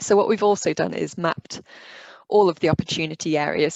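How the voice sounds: A woman with a fairly low pitch and a slightly mellow tone speaks with vocal fry and fairly even intonation, in a dry, close sound with no echo.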